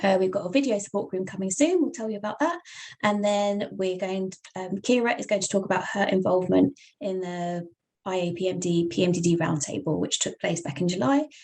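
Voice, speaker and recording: Speaking at a fairly quick pace with a British accent, the voice shows ordinary pitch variation. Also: woman, medium pitch for a woman. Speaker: webinar host for patient nonprofit. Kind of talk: online presentation. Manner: casual, filler-heavy.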